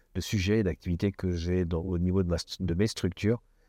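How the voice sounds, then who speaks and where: Heard against a quiet background, the dark, mellow voice keeps a fairly even intonation in a dry, close sound with no echo. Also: man. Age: 60s. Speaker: business executive. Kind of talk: interview.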